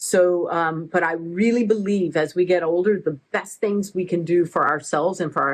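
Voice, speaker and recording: Speaking in an American accent at a moderate pace, a woman has a fairly low pitch, ordinary pitch variation and hardly any pauses. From Oregon, US. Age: 60s. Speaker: athlete and part-time expat. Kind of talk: casual interview.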